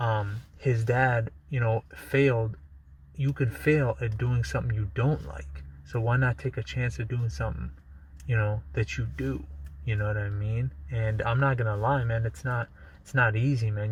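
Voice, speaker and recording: A man's somewhat breathy voice, medium in pitch, with lively intonation at a moderate pace. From United States, Balkan-born immigrant. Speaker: YouTuber. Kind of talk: casual vlog monologue. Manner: casual, lots of fillers and restarts.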